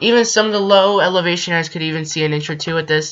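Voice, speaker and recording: The voice is shaky, with ordinary pitch variation. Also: woman. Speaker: amateur weather youtuber. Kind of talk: weather forecast video. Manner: halting.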